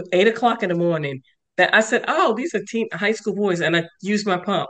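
Speaking at a fairly quick pace, a woman talks with a New York accent. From New York, Westchester. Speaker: sarcoidosis patient and advocate. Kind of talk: interview.

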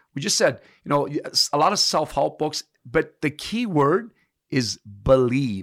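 Heard with a dry, close sound with no echo, a man talks at a fairly slow pace with vocal fry and very wide pitch swings. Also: fairly high pitch for a man. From Canada, immigrated from Italy at seven. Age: 50s. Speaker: personal trainer. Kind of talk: casual interview chat.

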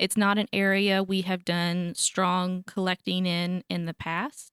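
The recording is very clean, with a silent background and a dry, close sound with no echo. It carries an ordinary speaking voice with fairly even intonation. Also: woman. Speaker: archivist. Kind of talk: interview. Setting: studio.

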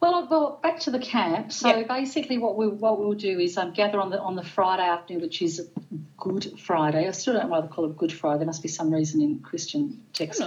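With an Australian accent, a woman speaks at medium pitch with very wide pitch swings over noticeable background noise. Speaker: podcast guest, pagan event organizer. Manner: fast talker, excitable; fast talker.

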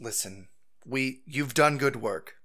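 A man puts on a raspy character voice at a fairly slow pace. The recording is very clean, with a silent background. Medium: actual play. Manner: authoritative, measured.

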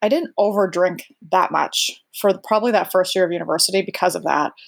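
Using an unremarkable speaking voice, a woman talks at a medium pitch and a fairly quick pace. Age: 40s. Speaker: recovery guest sharing drinking story. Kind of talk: interview testimony.

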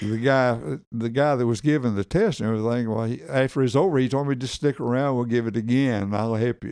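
A man with a Southern US accent at medium pitch, talking at a very fast pace with hardly any pauses. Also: ordinary pitch variation. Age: 80s+. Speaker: military veteran. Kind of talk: casual chat.

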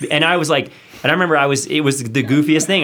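Noticeable background noise accompanies a man talking very fast in a fairly high pitch with ordinary pitch variation. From US South, then Hawaii. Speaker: creative agency founder, designer. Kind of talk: casual studio interview. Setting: studio.

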